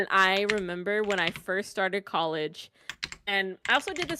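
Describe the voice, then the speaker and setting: A woman with a plain, everyday voice talks at a fairly quick pace in a medium pitch. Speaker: streamer. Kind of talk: casual chat.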